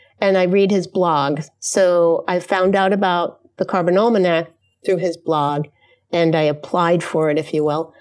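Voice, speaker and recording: A woman speaks fairly slowly in a fairly low pitch with fairly even intonation and very even loudness. The recording is very clean, with a silent background. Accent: American. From New York, US. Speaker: artist and designer. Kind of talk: casual chat. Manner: halting.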